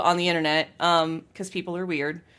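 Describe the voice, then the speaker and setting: A woman speaks loudly at a medium pitch. The recording is very clean with a silent background. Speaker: game streamer. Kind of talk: casual chat.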